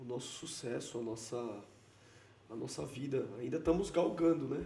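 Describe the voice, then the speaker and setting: A man at a fairly slow pace, ordinary pitch variation, audible room echo. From Brazil. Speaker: entrepreneur. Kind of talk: casual interview.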